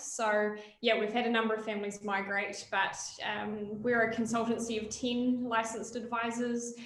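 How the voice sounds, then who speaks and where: A woman with a New Zealand accent speaks at a moderate pace with a fairly high pitch and monotone, flat intonation. Audible room echo and noticeable background noise are present. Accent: Kiwi. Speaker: licensed immigration adviser. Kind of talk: webinar presentation.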